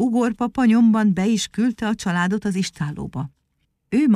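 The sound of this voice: An unforced reading voice with ordinary pitch variation, over a quiet background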